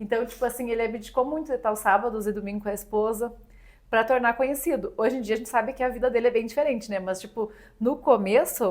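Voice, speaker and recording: A woman talks at a very fast pace with a fairly high pitch and fairly even intonation. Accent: Rio Grande do Sul. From Rio Grande do Sul, southern Brazil. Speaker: magazine founder and usual podcast host. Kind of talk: podcast interview.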